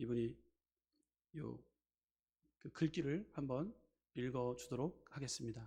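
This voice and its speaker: Somewhat breathy and dark, mellow in tone, a man talks at a very slow pace and medium pitch, with long, frequent pauses. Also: ordinary pitch variation. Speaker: pastor. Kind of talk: sermon. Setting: church.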